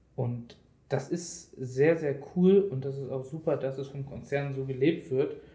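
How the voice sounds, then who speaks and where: In a room with audible echo, a man with a fairly high, somewhat breathy voice talks at a fairly slow pace with ordinary pitch variation. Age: 20s. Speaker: IT project manager. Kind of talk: casual interview.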